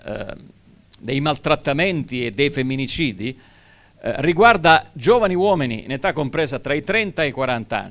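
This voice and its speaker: Against a quiet background, the speaker talks at a moderate pace with lively intonation. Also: man. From Sicily. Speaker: educator. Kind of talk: public talk. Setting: stage with audience. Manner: hesitant. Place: stage. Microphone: handheld.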